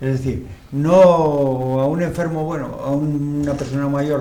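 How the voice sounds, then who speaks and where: A man talks with fairly even intonation, his voice carrying audible room echo amid noticeable background noise. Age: 70s. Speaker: TV talk show host. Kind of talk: interview talk show.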